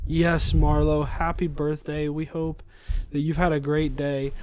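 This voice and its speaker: Speaking at a fairly slow pace, a man uses an ordinary speaking voice with a fairly high pitch. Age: 30s. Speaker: podcast host, father. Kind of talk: casual chat with his child.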